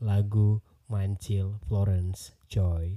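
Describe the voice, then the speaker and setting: Over a very clean recording with a silent background, a man speaks with a fairly low pitch and a dark, mellow tone that is somewhat breathy. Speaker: podcast host. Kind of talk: casual interview.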